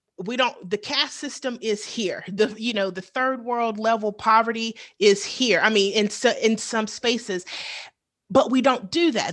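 A woman with a plain, everyday voice, fairly high pitch, ordinary pitch variation and moderate pace, over a quiet background. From US South. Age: 30s. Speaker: teacher. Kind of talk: podcast interview.

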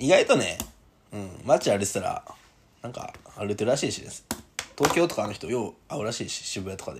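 A man with a Kansai accent in an animated tone at a fairly quick pace, with big swings in loudness, long, frequent pauses and noticeable background noise. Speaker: podcast host, rugby player. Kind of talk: casual chat. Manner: animated, laughing often.

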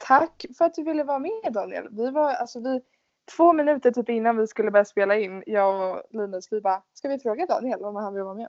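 A woman's ordinary speaking voice, fairly high in pitch and fairly quick, with lively intonation and big swings in loudness. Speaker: podcast host, exchange student. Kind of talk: casual chat.

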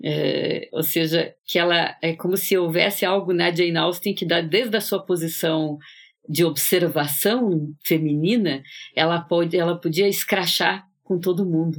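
At a fairly slow pace, a woman with fairly low pitch speaks in an unremarkable speaking voice, her intonation fairly even and her loudness very even, in a very clean recording with a silent background. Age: 60s. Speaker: psychoanalyst, podcast co-host. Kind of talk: casual literary discussion.

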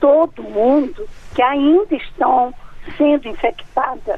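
Against noticeable background noise, a woman speaks at a fairly slow pace in a high pitch with lively intonation. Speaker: sociology professor. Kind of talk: expert interview. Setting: phone call.

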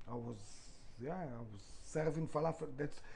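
Fairly quick speech from a man, plus audible room echo. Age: 40s. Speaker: restaurant founder. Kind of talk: interview.

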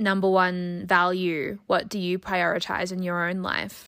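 At a moderate pace, a woman speaks with an Australian accent on a very clean recording with a silent background. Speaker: podcast host and junior doctor. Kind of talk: interview; scripted intro.

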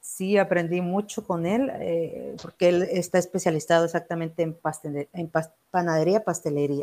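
The voice has a dark, mellow tone. Its intonation stays fairly even. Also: woman, fairly low pitch for a woman, moderate pace. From Mexico, Acapulco, Guerrero. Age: 30s. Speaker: chef. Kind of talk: interview.

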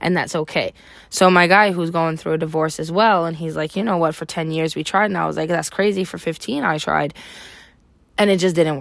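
Here is a woman with an unremarkable speaking voice and a fairly low pitch. She keeps a fairly quick pace with fairly even intonation. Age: 30s. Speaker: podcaster, mother of three. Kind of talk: casual monologue.

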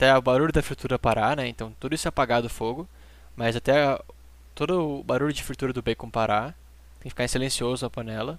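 On a very clean recording with a silent background, a man talks at a fairly quick pace in a medium pitch with fairly even intonation. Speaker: home cook, recent graduate. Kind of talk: cooking tutorial.

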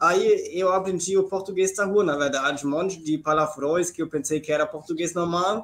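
A man talks at a moderate pace. His pitch is high. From southern Germany. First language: German (speaking Portuguese). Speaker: missionary. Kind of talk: live-stream interview.

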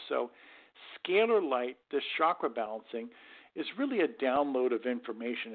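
In an unremarkable speaking voice, a man talks at a moderate pace with lively intonation and a fairly high pitch. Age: 50s. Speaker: scalar energy researcher. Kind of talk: interview.

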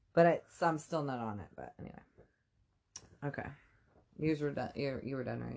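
Using vocal fry, a woman with a very deep, low voice talks at a moderate pace with ordinary pitch variation, long and frequent pauses, and big swings in loudness. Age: 30s. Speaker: podcast co-host. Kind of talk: casual chat.

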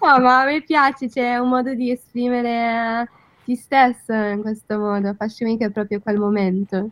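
A woman with an English accent, fairly high-pitched, at a fairly slow pace with fairly even intonation. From London, England. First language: English (speaking Italian). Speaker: content creator. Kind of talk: radio interview. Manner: halting.

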